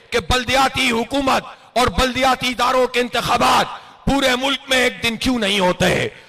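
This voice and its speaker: A man's raised, projected voice at an extremely high pitch, with fairly even intonation and noticeable background noise. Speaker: political party leader. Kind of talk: political rally speech. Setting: outdoors, public address system at a rally.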